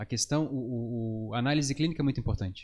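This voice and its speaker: The recording is very clean with a silent background as a man speaks at a fairly quick pace with ordinary pitch variation. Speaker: psychologist. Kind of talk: podcast interview. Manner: fast.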